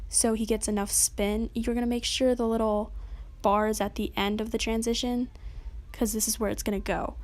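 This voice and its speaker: The recording is very clean with a silent background as a woman speaks in a fairly high voice. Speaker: tutorial youtuber. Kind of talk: tutorial. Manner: fast; casual.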